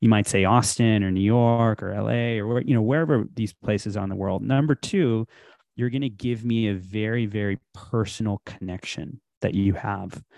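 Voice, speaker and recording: This is a plain, everyday voice. A man talks at a moderate pace in a fairly low pitch with ordinary pitch variation. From Texas (Houston), born in India. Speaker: tech startup founder. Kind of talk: interview.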